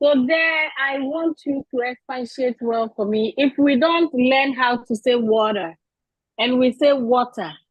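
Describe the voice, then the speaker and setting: At a fairly slow pace, the speaker talks in a Ghanaian accent with ordinary pitch variation. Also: woman, high pitch for a woman. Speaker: audience member asking a question. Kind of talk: question from audience.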